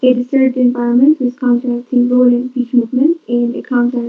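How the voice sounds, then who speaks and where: A soft-spoken woman talks in a high pitch. Her pace is fairly quick. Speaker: conference presenter. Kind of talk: conference presentation. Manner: halting.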